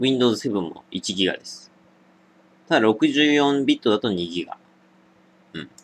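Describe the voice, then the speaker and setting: A man speaks at a fairly slow pace, with long, frequent pauses. His intonation is lively, and his loudness swings widely. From Japan, Niigata; Japan. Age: 20s. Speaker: drinking video creator; drinking livestreamer. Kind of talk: casual solo vlog monologue; casual vlog chat, responding to viewer comments. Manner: casual, many fillers. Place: home room. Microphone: webcam.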